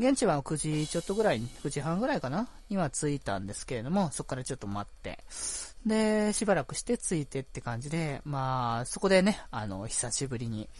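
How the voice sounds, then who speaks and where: A man's relaxed, somewhat breathy voice at a fairly high pitch, with very wide pitch swings and a fairly quick pace. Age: 20s. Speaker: podcast host. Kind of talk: casual solo talk. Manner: relaxed, laid-back pace; frequent laughter and fillers.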